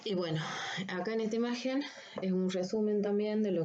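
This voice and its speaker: A woman talks amid noticeable background noise, her voice trailed by audible room echo. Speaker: anatomy lecturer. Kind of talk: recorded lecture. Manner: deliberately slow; halting, many fillers.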